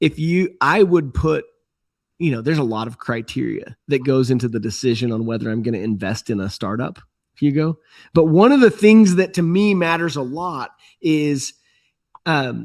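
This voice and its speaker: Against a quiet background, a man talks in a plain, everyday voice at a moderate pace. His pitch is fairly high and his intonation lively. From USA. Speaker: entrepreneur and startup investor. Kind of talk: podcast interview. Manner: conversational with frequent fillers and restarts.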